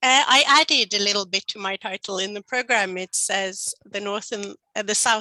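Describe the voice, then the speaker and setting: With a bright, sharp tone and a medium pitch, a woman speaks at a moderate pace in a dry, close sound with no echo. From northern Norway. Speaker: professor. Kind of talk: lecture.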